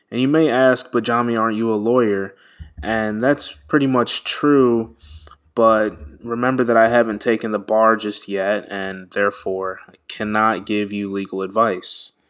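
In a normal speaking voice with an American accent, the speaker keeps a moderate pace and fairly even intonation against a quiet background. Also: man, medium pitch for a man. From US (Washington, D.C.), Nigerian American. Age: 20s. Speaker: podcast host, law graduate. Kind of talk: solo podcast introduction. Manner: casual, many fillers.

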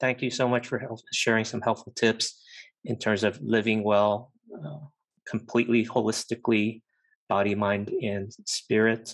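A man with an ordinary speaking voice talks at a moderate pace, his medium pitch held to fairly even intonation. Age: 50s. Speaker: podcast host. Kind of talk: casual discussion.

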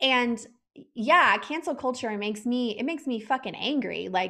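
A woman with a plain, everyday voice and an American accent, fairly high-pitched with lively intonation at a moderate pace. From Texas. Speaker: podcast host and former health coach. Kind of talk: interview conversation.

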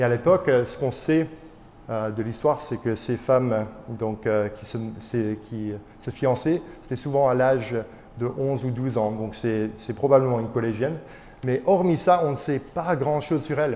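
A man of medium pitch at a fairly slow pace, with long, frequent pauses. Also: ordinary pitch variation. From Belgium, Charleroi area, Wallonia. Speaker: pastor. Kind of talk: sermon. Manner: halting.

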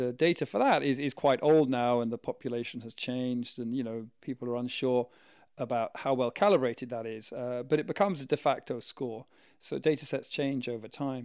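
At a fairly quick pace, the man talks with ordinary pitch variation. He uses a normal speaking voice, pitched at a medium level. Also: very clean recording, silent background. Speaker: podcast co-host. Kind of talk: casual chat.

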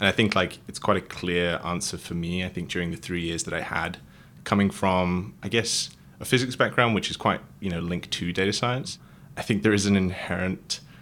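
Talking at a fairly quick pace, a man with a very deep, low pitch and a bright, sharp tone keeps his intonation fairly even on a very clean recording with a silent background. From Wales; rural Wales. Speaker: data engineer and alumnus. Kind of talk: casual interview chat.

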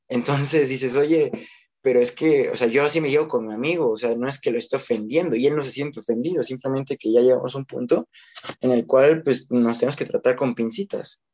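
A man's fairly quick delivery, an unremarkable speaking voice, medium pitch and ordinary pitch variation. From Mexico. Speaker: teacher, podcast co-host. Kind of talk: casual chat.

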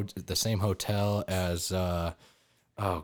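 Very clean recording with a silent background of a man with a very deep, low pitch and an American accent. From Wyoming, US. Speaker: army sergeant. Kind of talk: casual chat.

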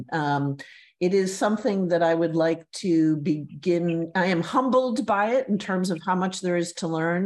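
A woman speaks in a normal speaking voice at a fairly slow pace, her pitch fairly low with ordinary variation, over a quiet background. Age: 60s. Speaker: former advertising art director, walking advocate. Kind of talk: interview.

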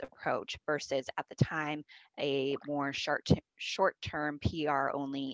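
With an American accent, a woman talks in a very deep, low voice. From US Pacific Northwest, small town in Washington State. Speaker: marketing agency founder. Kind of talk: interview.

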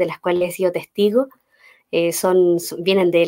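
A woman talks in an ordinary speaking voice, fairly low in pitch with fairly even intonation. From Chile, Los Ángeles. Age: 30s. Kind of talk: faith talk interview.

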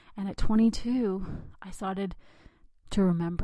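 On a very clean recording with a silent background, a woman with a dark, mellow, somewhat breathy voice speaks at a fairly slow pace with fairly even intonation. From India, raised in the United States from age six. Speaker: podcast host. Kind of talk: personal storytelling monologue.

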